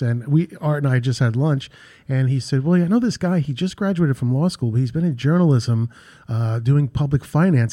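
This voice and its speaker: A man with a New York accent talks fairly quickly at a medium pitch, his tone dark and mellow and his pitch varying in an ordinary way. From New York, Queens / Long Island. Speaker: real estate executive. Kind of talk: radio interview.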